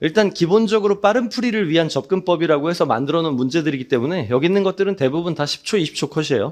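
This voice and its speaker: Lively intonation carries the speech over a quiet background. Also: man. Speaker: math exam-prep instructor. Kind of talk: lecture. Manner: fast.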